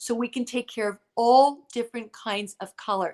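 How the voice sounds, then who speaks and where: A woman's high-pitched voice sounds animated, with ordinary pitch variation, recorded dry and close with no echo. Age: 60s. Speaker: skincare show host. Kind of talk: live sales presentation. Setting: Facebook live stream.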